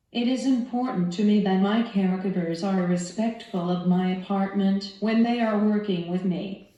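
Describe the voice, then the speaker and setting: With noticeable background noise behind her, the woman uses a medium pitch, a moderate pace and ordinary pitch variation. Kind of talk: scripted instructional talk.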